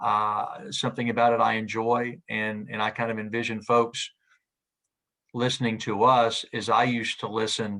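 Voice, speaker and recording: A man speaks in a Southern US accent with a fairly low pitch and a bright, sharp tone. His intonation is monotone and flat, with a quiet background. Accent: Southern American. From US South, Knoxville, Tennessee. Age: 60s. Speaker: sports play-by-play radio announcer. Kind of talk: interview conversation. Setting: video call. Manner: halting, many repeated words.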